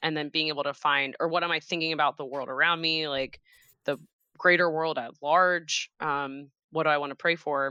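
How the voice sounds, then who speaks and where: In an American accent, a woman with a very deep, low voice speaks at a moderate pace in a flat monotone. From Cincinnati, Ohio. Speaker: church children's ministry director. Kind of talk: casual interview. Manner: casual, filler-heavy.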